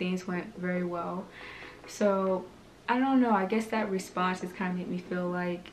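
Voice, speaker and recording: Light background noise accompanies a woman speaking at a moderate pace with fairly even intonation. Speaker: hair vlogger. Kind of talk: casual vlog chat. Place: home room. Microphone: camera far.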